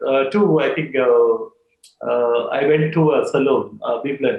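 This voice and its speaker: This is a man's voice. He speaks with an Indian accent. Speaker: salon business executive. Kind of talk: casual chat. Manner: hesitant, many fillers.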